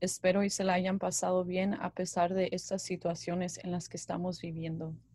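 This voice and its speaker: Speaking at a moderate pace, a woman with a medium pitch sounds somewhat breathy and keeps a monotone, flat intonation. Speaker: university student, podcast co-host. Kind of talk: casual chat.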